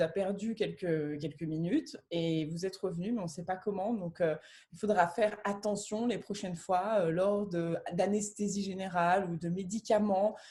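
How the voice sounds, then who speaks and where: In a very clean recording with a silent background, a woman speaks at a moderate pace and medium pitch in a dark, mellow, somewhat breathy tone, with hardly any pauses. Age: 30s. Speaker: near-death experiencer and coach. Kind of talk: testimony in a conversation.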